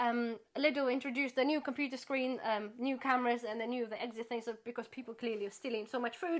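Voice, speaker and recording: At a very fast pace, a woman speaks with a bright, sharp tone and a high pitch. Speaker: YouTuber, charity volunteer. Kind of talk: casual chat.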